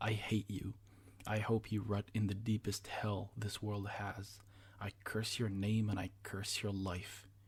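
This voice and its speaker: A man uses a put-on character voice, rumbling in a fairly low pitch. He speaks at a fairly slow pace with monotone, flat intonation. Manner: grumbling through gritted teeth.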